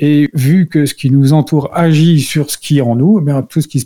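A man speaks in a somewhat breathy, dark and mellow voice, recorded dry and close with no echo. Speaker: integrative health expert and entrepreneur. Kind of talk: educational radio talk. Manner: hesitant, with repeated words.

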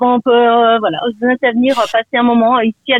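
A woman with a fairly high pitch. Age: 50s. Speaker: radio caller. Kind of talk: phone-in testimony.

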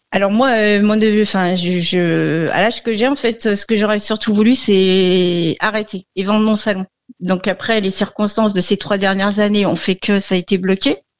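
A woman's medium-pitched voice, very even in loudness and fairly even in intonation, with hardly any pauses against a quiet background. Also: moderate pace. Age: 50s. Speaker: hairdresser, radio caller. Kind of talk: call-in consultation. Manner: hesitant.

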